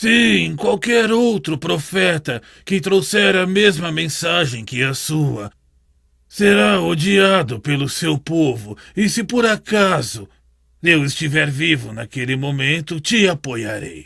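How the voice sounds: A man's cartoonish character voice, fairly high-pitched, with very wide pitch swings at a fairly slow pace.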